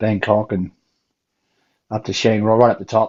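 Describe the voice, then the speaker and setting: A man with an Australian accent, a fairly low pitch and monotone, flat intonation. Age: old. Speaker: chat show panelist. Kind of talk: casual chat.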